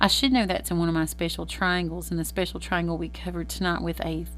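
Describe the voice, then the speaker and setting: In a space with audible room echo, a woman speaks at a very fast pace. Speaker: math teacher. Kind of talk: recorded lesson, tutorial.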